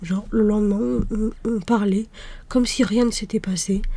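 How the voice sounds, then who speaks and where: A soft-spoken, somewhat breathy woman with a fairly high pitch, ordinary pitch variation and a moderate pace. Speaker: ASMR creator. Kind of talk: ASMR soft-spoken personal talk.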